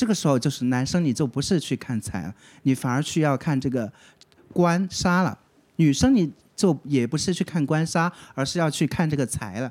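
Intonation is lively and the pace moderate. A very clean recording with a silent background carries it. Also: man, fairly high pitch for a man. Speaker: fortune teller. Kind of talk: casual chat.

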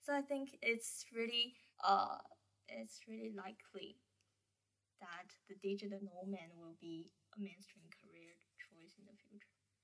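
A woman with a Chinese accent speaks at medium pitch in a bright, sharp tone, with ordinary pitch variation and big swings in loudness. Her pace is moderate, broken by long, frequent pauses. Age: 20s. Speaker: university student. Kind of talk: casual chat. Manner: hesitant.

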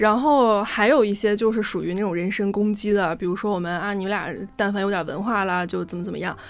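Amid audible room echo, a woman with a medium pitch speaks very fast with ordinary pitch variation. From Gansu, Tianshui. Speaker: podcast co-host. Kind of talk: casual chat.

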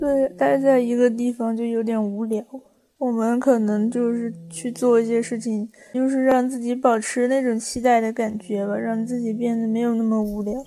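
This woman has an unremarkable speaking voice, fairly high in pitch, with fairly even intonation and a moderate pace. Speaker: podcast co-host. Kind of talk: casual chat.

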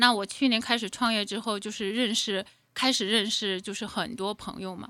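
Intonation stays fairly even, and the words come at a moderate speed. Background silence makes for a very clean recording. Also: woman. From Inner Mongolia, China. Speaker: entrepreneur. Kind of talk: interview. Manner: halting.

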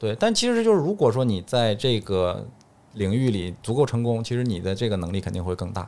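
Over a very clean recording with a silent background, a man speaks at a medium pitch and a fairly quick pace. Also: ordinary pitch variation. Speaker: dentist. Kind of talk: casual chat.

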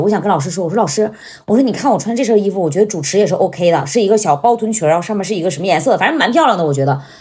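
Very fast, animated speech from a woman at a medium pitch, with very wide pitch swings and noticeable background noise. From Northeast China. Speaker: comedic short-video creator. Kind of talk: casual chat.

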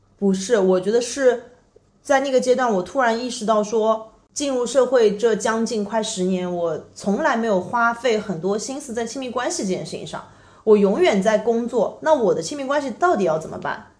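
Amid audible room echo, a woman with a fairly high pitch talks at a moderate pace with lively intonation. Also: big swings in loudness. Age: 30s. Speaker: digital nomad and content creator. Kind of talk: casual chat.

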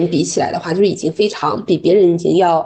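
A woman talks at a fairly quick pace in a normal speaking voice. Her pitch sits at a medium level. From Dalian, northeast China. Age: 30s. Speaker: corporate culture consultant. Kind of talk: podcast interview.

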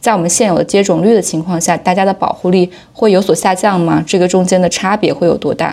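The voice has a dark, mellow tone, a fairly quick pace and fairly even intonation. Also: woman. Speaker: podcast co-host. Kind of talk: interview.

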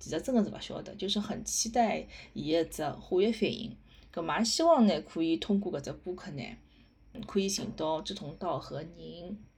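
A woman with a Shanghainese accent at a moderate pace, her loudness swinging widely. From Shanghai, Hongkou. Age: 30s. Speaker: podcast host. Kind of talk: casual monologue. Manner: halting.

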